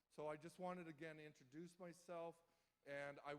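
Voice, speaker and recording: His intonation stays fairly even. The man keeps to a moderate pace. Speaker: victim services program manager. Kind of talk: public speech. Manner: loud; halting, many fillers.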